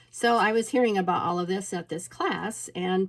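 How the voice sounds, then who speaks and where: A woman's medium-pitched voice with a slight Minnesota accent, a moderate pace and ordinary pitch variation. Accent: slight Minnesota inflection. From Alaska. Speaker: peony farmer. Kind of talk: casual storytelling vlog. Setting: indoors at home.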